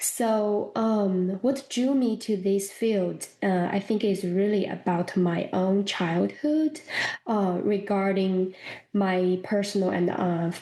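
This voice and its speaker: Speaking in a Chinese accent at a very slow pace, a woman has a medium pitch and a dark, mellow tone. Her loudness stays very even, and her pitch varies in an ordinary way. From China. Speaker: professor of school counseling. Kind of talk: interview.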